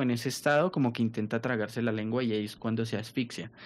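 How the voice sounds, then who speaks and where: A man is speaking here. His pace is very fast. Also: quiet background. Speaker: podcast co-host. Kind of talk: casual chat.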